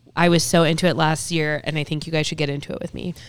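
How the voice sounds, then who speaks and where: A woman speaks at a fairly low pitch with monotone, flat intonation. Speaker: podcast co-host, rec league organizer. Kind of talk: casual chat. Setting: studio.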